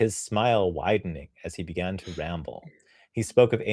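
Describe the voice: The text is read aloud plainly, and the pitch rises and falls in an ordinary way.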